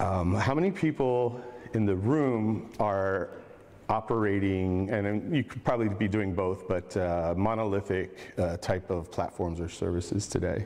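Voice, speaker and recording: This man has a plain, everyday voice with fairly low pitch. He speaks at a fairly slow pace with ordinary pitch variation. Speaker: conference speaker. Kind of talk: lecture. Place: hall.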